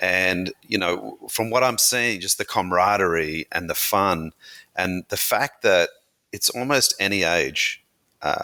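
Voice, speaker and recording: Over a silent background on a very clean recording, a man with an Australian accent talks at a fairly slow pace with very even loudness. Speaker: brand founder and CEO. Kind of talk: interview.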